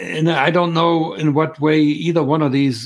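A man with a German accent at a moderate pace, over noticeable background noise. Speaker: former undercover spy. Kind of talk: live-stream Q&A interview. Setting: video call. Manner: halting with fillers.

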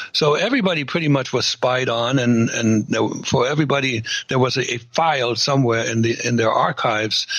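Over noticeable background noise, a man with a German accent talks at a fairly quick pace. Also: medium pitch for a man, ordinary pitch variation, very even loudness. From East Germany. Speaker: former KGB spy. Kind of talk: casual interview.

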